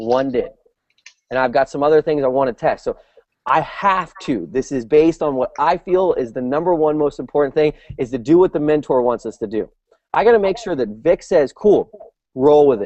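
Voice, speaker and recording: Speaking at a fairly quick pace, a man with a fairly high voice sounds animated, his intonation lively. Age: 30s. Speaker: webinar host. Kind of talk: motivational team call. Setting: video call.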